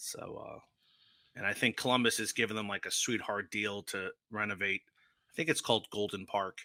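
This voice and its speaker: Long, frequent pauses break up fairly quick speech on a very clean recording with a silent background and a dry, close sound with no echo. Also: man. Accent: New Jersey. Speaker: sports travel podcast panelist. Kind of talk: casual chat.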